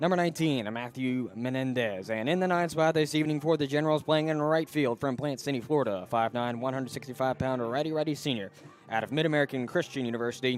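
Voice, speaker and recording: A man at medium pitch talking at a very fast pace with ordinary pitch variation and hardly any pauses, music in the background. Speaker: sports radio broadcaster. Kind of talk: pregame sports broadcast. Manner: formal announcer delivery.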